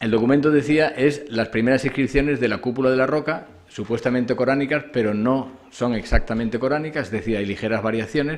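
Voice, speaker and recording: This man talks at a fairly quick pace with hardly any pauses, using a medium pitch and ordinary pitch variation. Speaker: conference speaker, scholar of Islam. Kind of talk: academic lecture. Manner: fast; hesitant fillers.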